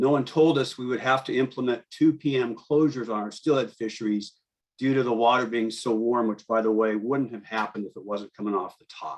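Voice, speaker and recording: A man with an American accent and an unremarkable speaking voice talks at a fairly quick pace, his intonation fairly even but his loudness swinging widely. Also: medium pitch for a man. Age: 60s. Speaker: fishing guide. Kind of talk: public comment testimony.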